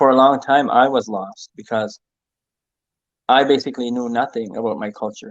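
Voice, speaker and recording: A man in a Maritime Canadian accent, fairly even in intonation, at a moderate pace over a quiet background. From eastern New Brunswick, Canada (Mi'kmaq community). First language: Mi'kmaq. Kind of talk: interview. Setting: live-streamed online conversation. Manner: hesitant, many fillers.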